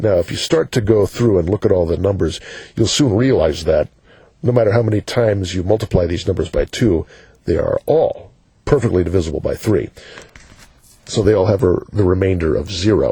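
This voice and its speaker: A man talks at a fairly quick pace in a dark, mellow tone. He sounds somewhat breathy, with ordinary pitch variation. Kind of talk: educational math explanation. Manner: casual, conversational with fillers.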